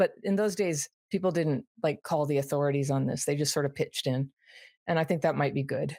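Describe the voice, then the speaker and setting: A woman with an American accent speaks at a very deep, low pitch and a fairly quick pace, with a dark, mellow tone, ordinary pitch variation and very even loudness. The sound is dry and close with no echo, on a very clean recording with a silent background. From US West Coast (Berkeley, California). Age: 60s. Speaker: trauma recovery author and YouTuber. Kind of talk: interview conversation. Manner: conversational, with self-corrections.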